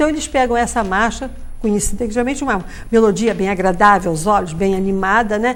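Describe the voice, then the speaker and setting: A woman talks at a very fast pace, with audible room echo around her. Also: medium pitch for a woman, ordinary pitch variation. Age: 70s. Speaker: German cultural club leader. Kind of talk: live TV interview.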